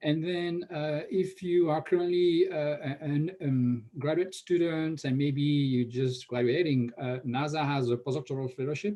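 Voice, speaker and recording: With a French accent, a man talks at a fairly slow pace in a fairly high pitch, using ordinary pitch variation and hardly any pauses. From France. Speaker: NASA research scientist. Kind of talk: conference Q&A answer. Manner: frequent hesitations with uh.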